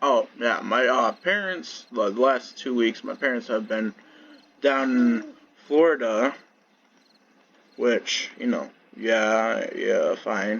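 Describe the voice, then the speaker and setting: A man's very slow speech, full of long, frequent pauses. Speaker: gaming YouTuber. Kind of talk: casual monologue vlog. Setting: at home, on bed. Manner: flat, low-energy; hesitant, many fillers.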